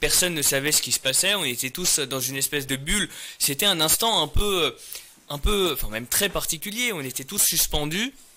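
This man has a fairly high pitch and a bright, sharp tone. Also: moderate pace. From France, Paris region, Iranian parents. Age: 30s. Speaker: mayor and lawyer; interview guest, mayor. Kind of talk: interview. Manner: hesitant with frequent repetitions. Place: studio. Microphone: studio mic.

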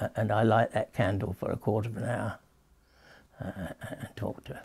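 Somewhat breathy and fairly low in pitch, a man speaks at a moderate pace in a monotone, flat intonation with big swings in loudness. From England. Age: 80s+. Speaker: author. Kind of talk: interview answer. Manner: hesitant, halting. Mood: tender, grieving, hesitant. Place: home room.

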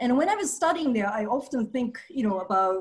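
A woman with a Japanese accent sounds somewhat breathy, her pitch swinging very widely. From Japan (Nagasaki, Hiroshima). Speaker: activist; speaker. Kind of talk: presentation. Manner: halting, many fillers. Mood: earnest, reflective. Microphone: headset.

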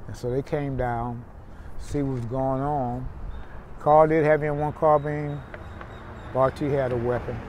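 Over light background noise, the speech moves at a fairly slow pace with long, frequent pauses, monotone, flat intonation and a dry sound with no echo. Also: man. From Houston, Texas. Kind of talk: oral history interview answer. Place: street.

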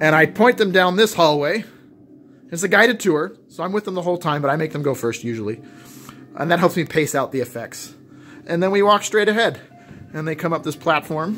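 Faint music sits in the background as a man speaks at a fairly quick pace. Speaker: haunt creator giving a tour. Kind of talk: casual tour commentary. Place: garage. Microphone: phone near.

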